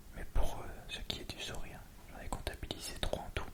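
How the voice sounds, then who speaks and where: Noticeable background noise lies under a whisper that moves along fairly quickly. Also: man. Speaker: ASMR creator. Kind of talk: read story. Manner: whispered.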